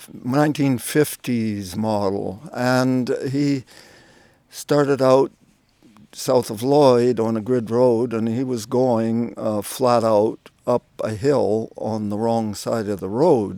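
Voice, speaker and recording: Very slowly and with fairly even intonation, a man with a Canadian prairie accent speaks in a medium pitch and a dark, mellow tone. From Saskatchewan, Canada. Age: 70s. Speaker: YouTuber sharing spiritual stories. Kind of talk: personal testimony. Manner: halting, many fillers.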